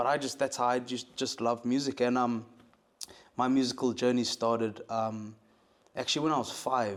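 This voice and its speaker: Medium in pitch and with monotone, flat intonation, a man speaks with a South African accent. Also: moderate pace. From South Africa, Cape Town. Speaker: musician and producer. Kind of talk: interview. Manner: halting, many fillers.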